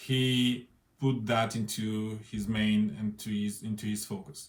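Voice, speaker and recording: A man with a non-native accent and fairly even intonation. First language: not English. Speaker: interviewer. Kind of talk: spoken introduction. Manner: halting.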